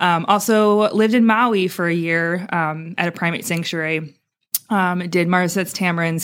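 A woman with an American accent talks at a moderate pace in fairly even intonation, using an unremarkable speaking voice. The recording is very clean, with a silent background. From Wisconsin. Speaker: zookeeper. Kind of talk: casual interview chat. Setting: on a boat at a zoo.

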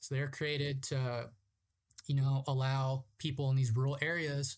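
Somewhat breathy, a man talks in a Californian accent. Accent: Californian American English. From Southern California (Ramona, San Diego County). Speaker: outdoor guide and tour company founder. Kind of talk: casual interview conversation. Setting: remote call.

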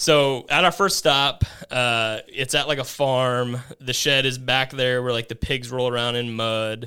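A man with a Midwestern American accent speaks at a fairly slow pace with a medium pitch and fairly even intonation. His tone is bright and sharp, on a very clean recording with a silent background. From Kansas, US. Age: 30s. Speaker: rent-to-own business owner. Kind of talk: casual interview chat.

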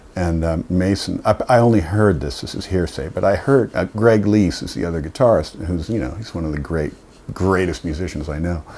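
A fairly quick man's voice, very deep and low, with ordinary pitch variation. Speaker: guitarist and singer. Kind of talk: casual interview chat. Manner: casual, swears often.

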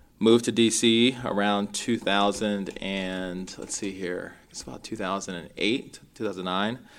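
A man with a Mid-Atlantic US accent speaks at a moderate pace and fairly low pitch, with hardly any pauses. His intonation is fairly even, but his loudness swings widely. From Maryland, US (Rockville). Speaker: realtor. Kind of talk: interview.

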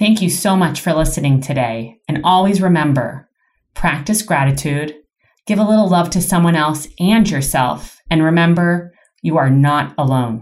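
A woman with a Canadian accent has a very deep, low pitch and lively intonation. She keeps a moderate pace and very even loudness. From Canada, Toronto. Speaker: podcast host, clinic wellness team. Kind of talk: reading aloud; casual interview.

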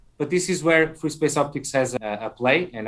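A man speaks at a moderate pace with a Portuguese accent. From Portugal. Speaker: tech entrepreneur. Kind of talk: interview. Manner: halting.

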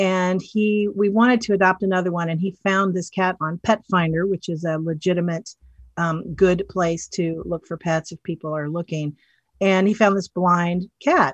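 A woman's medium-pitched, unremarkable speaking voice at a moderate pace, in a dry, close sound with no echo. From US South, western North Carolina mountains. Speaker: animal rescue nonprofit volunteer. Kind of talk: interview.

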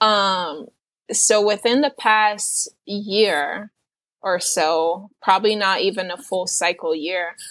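In an unremarkable speaking voice, a woman talks at a medium pitch with fairly even intonation over a quiet background. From New York City, Puerto Rican roots. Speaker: self-taught painter. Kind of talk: casual interview.

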